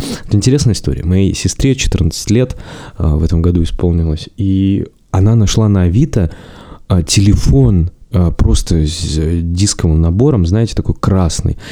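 A man with a very deep, low pitch and lively intonation at a moderate pace, over noticeable background noise. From Russia, Zabaikalsky region (Chita, village). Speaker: podcast host. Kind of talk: solo podcast monologue.

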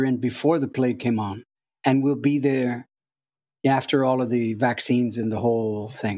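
With a very clean recording and a silent background, a man talks at a moderate pace in an ordinary speaking voice, his medium pitch held in fairly even intonation. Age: 60s. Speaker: palliative care worker, poet and musician. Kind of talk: interview conversation.

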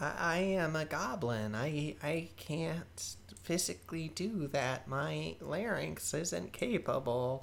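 A put-on character voice at a low-to-middle pitch moves at a very slow pace with hardly any pauses, over clear background noise.

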